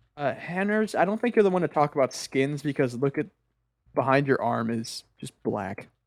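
A fairly high-pitched man at a moderate pace with very wide pitch swings, dry and close with no echo, on a very clean recording with a silent background. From North America. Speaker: podcast host. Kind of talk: casual chat.

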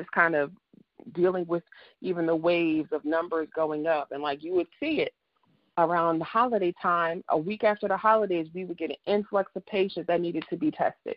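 An American-accented woman with an ordinary speaking voice talks at a moderate pace, her fairly low pitch showing ordinary pitch variation. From New Jersey. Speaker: life coach and counselor. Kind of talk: casual interview.

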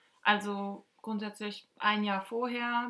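A woman's medium-pitched voice has a bright, sharp tone. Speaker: podcast co-host, former exchange student. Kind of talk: casual chat.

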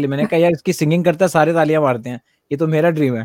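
A man with ordinary pitch variation. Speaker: music producer. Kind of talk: casual chat.

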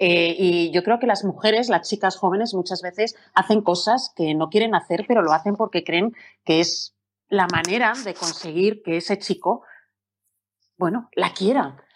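A woman speaks in an ordinary speaking voice at a fairly slow pace, with medium pitch, ordinary pitch variation and a quiet background. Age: 40s. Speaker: radio presenter and moderator. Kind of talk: panel moderation. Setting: live stream on social media.

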